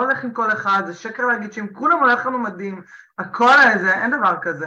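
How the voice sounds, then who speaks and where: Bright and sharp in tone, a woman with a fairly high pitch speaks at a moderate pace with lively intonation. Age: 40s. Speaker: business consultant. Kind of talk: interview.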